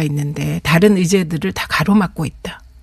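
Somewhat breathy is how this woman sounds. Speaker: politician. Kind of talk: radio interview. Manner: formal.

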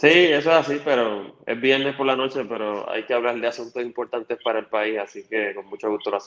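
A man with a normal speaking voice talks at a fairly quick pace and medium pitch. He has ordinary pitch variation and hardly any pauses. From Puerto Rico, Toa Baja. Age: 30s. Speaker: political candidate. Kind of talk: interview.

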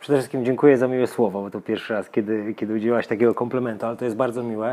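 Fairly even intonation from a man speaking at a medium pitch. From Poland, Lower Silesia (Żarów). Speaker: tennis coach. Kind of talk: casual interview.

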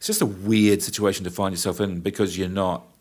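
At a very fast pace, a man with a New Zealand accent speaks in a very deep, low pitch with monotone, flat intonation. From New Zealand, New Plymouth. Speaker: event company owner and production manager. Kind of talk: interview, casual chat.

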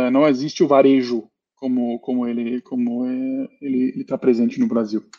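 The sound is dry and close with no echo, carrying a man's medium-pitched voice with a dark, mellow tone. He speaks at a moderate pace in a monotone, flat intonation. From Germany. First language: German (speaking Portuguese). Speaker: company founder and CEO. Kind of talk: panel discussion. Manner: hesitant, many fillers.

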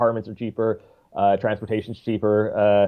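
A man talks with a Newfoundland accent. His pace is very fast. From Newfoundland, Canada. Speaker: musician. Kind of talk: casual interview. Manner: chatty.

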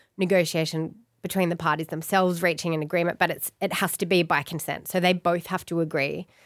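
Talking with an Australian accent, a woman has a fairly low pitch and a bubbly tone at a moderate pace. The recording is very clean with a silent background. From Australia, Blue Mountains (NSW). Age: 40s. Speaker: family lawyer. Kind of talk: casual interview chat. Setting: studio with microphones and headphones.

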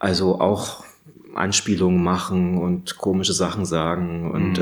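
Against noticeable background noise, a man speaks at a very slow pace. His very deep, low voice is monotone and flat. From Saxony, Radeberg near Dresden. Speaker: illustration professor and animator. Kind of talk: casual interview. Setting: studio atelier.

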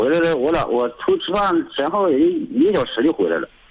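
A man speaks at a moderate pace. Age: 30s. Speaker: caller. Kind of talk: phone-in call. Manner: halting, repetitive.

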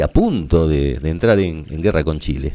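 A man with a Rioplatense accent. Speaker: radio host. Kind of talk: radio monologue.

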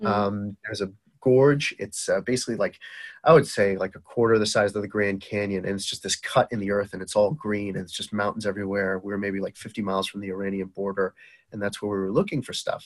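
A man speaks at a very fast pace in a Boston accent. His pitch sits fairly low. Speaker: entrepreneur and medical device founder. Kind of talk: casual interview chat. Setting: remote call, early morning. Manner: animated.

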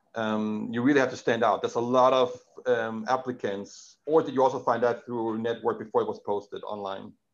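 With a Danish accent, a man talks at a fairly quick pace with hardly any pauses, a medium pitch and fairly even intonation over a quiet background. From Denmark. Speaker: podcast host. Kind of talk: interview. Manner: halting.

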